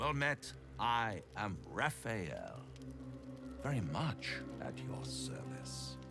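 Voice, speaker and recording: Over loud background music, a man in a put-on character voice speaks theatrically at a very slow pace with long, frequent pauses. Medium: video game. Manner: smooth, theatrical, mocking.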